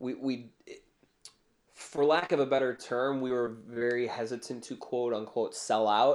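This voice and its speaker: This speaker has an American accent and a fairly slow pace. The intonation stays fairly even. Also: man, medium pitch for a man. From US, Chicago northwest suburbs. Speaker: pop punk musician. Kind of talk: casual interview chat.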